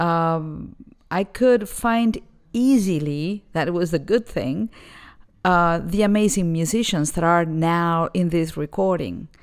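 In a Spanish accent, a woman speaks at a very slow pace with a fairly low pitch and ordinary pitch variation. The recording is very clean, with a silent background. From Argentina, Buenos Aires. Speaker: jazz vocalist. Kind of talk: interview.

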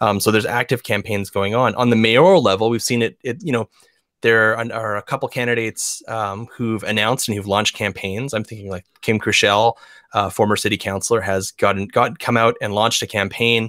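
With an Albertan accent, a man talks at a fairly quick pace in a medium pitch, his tone bright and sharp and his intonation fairly even. The recording is very clean and dry, close with no echo and a silent background. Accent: Canadian (Alberta). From Alberta, Canada. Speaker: podcast host. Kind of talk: political panel discussion.

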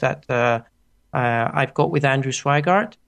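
Someone with a Greek accent speaks at a very slow pace, with ordinary pitch variation. The background is quiet. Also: man. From Greece, Athens. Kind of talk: interview. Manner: halting.

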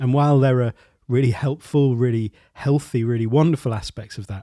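Using an unremarkable speaking voice, a man talks at a medium pitch with fairly even intonation. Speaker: podcast host and creativity coach. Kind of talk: interview podcast with scripted intro. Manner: gentle, reflective.

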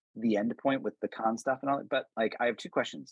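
Here a man speaks against a quiet background. The sound is dry and close, with no echo. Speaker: podcast co-host. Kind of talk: casual chat. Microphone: iPhone.

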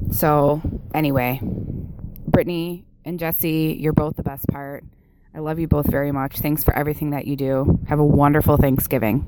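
With an American accent, a woman with a very deep, low voice speaks at a moderate pace and fairly even intonation, over noticeable background noise. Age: 30s. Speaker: listener caller. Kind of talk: voicemail testimony.

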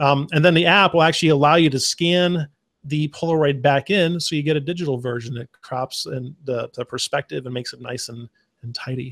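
With an American accent and an unremarkable speaking voice, a man talks at a fairly quick pace in a fairly high pitch, showing ordinary pitch variation and big swings in loudness, in dry, close sound with no echo. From Arizona. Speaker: podcast co-host. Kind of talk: casual chat.

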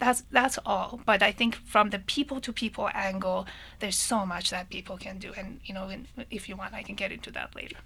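A woman with a Persian accent speaks at a medium pitch. Her pace is fairly quick and her intonation fairly even. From Iran (Tehran). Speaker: engineering professor. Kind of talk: radio panel discussion. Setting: studio.

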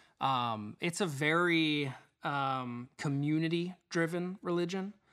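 The man's bright, sharp tone comes with an American accent and ordinary pitch variation, in a very clean recording with a silent background. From Mesa, Arizona. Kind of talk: testimony. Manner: halting, many fillers.

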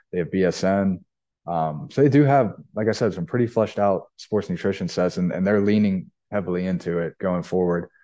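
Against a quiet background, a man with an American accent talks at a fairly quick pace. His voice is fairly low, with a dark, mellow tone. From Pittsburgh, Pennsylvania. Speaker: supplement sales manager, military veteran, ultramarathoner.

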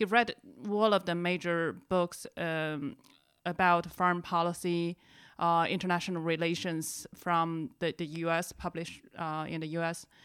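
With a Chinese accent, a woman speaks in a fairly low pitch at a fairly slow pace, her intonation monotone and flat. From China. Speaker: podcast host, NGO communications manager. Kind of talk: casual chat.

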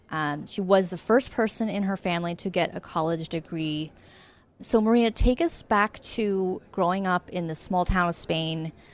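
A woman speaks at a medium pitch and a moderate pace, with ordinary pitch variation, in an ordinary speaking voice. The recording is very clean, with a silent background. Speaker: podcast host and editor. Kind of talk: interview. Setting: live event recording.

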